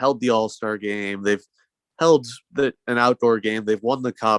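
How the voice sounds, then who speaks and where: A man with an American accent and a plain, everyday voice, fairly even intonation at a moderate pace, dry, close sound with no echo and a quiet background. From North Carolina, Raleigh. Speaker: hockey fan guest. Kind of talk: casual chat.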